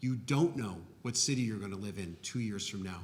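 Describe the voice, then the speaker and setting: A man with a fairly low pitch uses an ordinary speaking voice, keeping a moderate pace and ordinary pitch variation. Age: 60s. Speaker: architect. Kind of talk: panel discussion.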